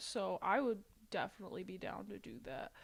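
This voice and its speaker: The pace here is moderate. The speaker, a woman, has an American accent. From Ohio, US Midwest. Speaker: gaming streamer. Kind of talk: casual gameplay chat; talking to a ghost in a game. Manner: casual, filler-heavy.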